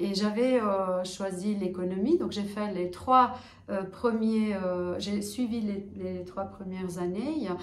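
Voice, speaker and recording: Audible room echo surrounds a woman of medium pitch who speaks at a very slow pace with fairly even intonation. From Kosovo. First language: Albanian (Kosovar dialect) (speaking French). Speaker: interviewee, social worker. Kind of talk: interview. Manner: hesitant, many fillers.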